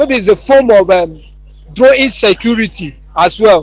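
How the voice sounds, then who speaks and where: A man with a Nigerian accent speaks in a high pitch with lively intonation over noticeable background noise. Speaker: youth advocate. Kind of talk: panel discussion. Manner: halting.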